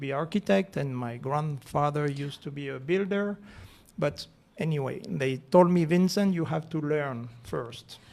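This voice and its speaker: A man speaks with a French accent. His pitch varies in an ordinary way. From France, Alps. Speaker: real estate association president. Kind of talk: radio interview. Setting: radio studio. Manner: halting.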